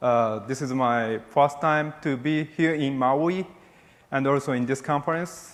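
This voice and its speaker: A man with a Japanese accent speaks at a fairly high pitch with fairly even intonation. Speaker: military officer and space policy official. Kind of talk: keynote speech. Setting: conference stage with audience. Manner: halting.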